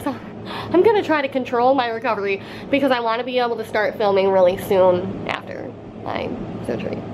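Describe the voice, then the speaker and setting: Fairly high female voice, ordinary in pitch variation, set against noticeable background noise. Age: 20s. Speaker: beauty and lifestyle vlogger. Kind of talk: casual talk to camera.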